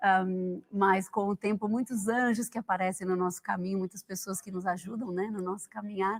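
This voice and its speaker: The woman has a medium pitch and a monotone, flat intonation. She keeps a moderate pace with hardly any pauses, in a dry, close sound with no echo. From Brazil, São Paulo. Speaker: founder of a pilgrim guiding project, author. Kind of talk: TV talk show interview.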